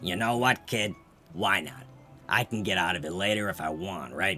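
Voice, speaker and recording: A raspy, put-on character voice moves at a moderate pace over clear music in the background. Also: man, fairly low pitch for a man. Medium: read story.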